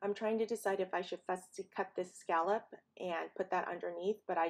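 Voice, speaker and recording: A woman talks at a fairly quick pace with a medium pitch and monotone, flat intonation. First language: not English. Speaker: paper crafting YouTuber. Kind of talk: tutorial voiceover. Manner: casual, with frequent fillers.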